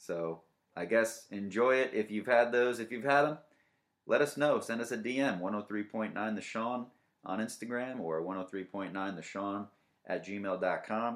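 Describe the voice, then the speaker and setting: Man with a normal speaking voice, medium pitch, ordinary pitch variation and a fairly slow pace. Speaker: comedy radio-style podcast host. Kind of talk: stand-up style comedic monologue riffing on news, crude jokes and dating profile readouts. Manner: mock radio-DJ patter.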